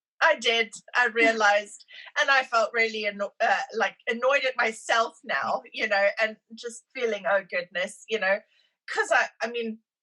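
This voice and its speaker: A woman speaks with a South African accent, her fairly high voice carrying a bright, sharp tone. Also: ordinary pitch variation, moderate pace. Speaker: immigrant sharing her story. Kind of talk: podcast interview.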